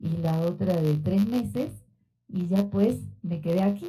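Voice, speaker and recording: A woman speaks in a dark, mellow tone, somewhat breathy, at medium pitch and a fairly slow pace. Her pitch variation is ordinary, and there is audible room echo. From Argentina. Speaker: sociology researcher. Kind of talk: lecture. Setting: auditorium. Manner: conversational with filler words.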